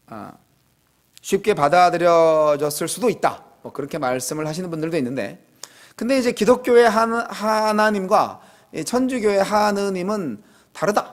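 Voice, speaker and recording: A man with a high-pitched voice talks at a fairly slow pace. His intonation is lively, and his loudness swings widely. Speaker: pastor. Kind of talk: sermon. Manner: casual, conversational.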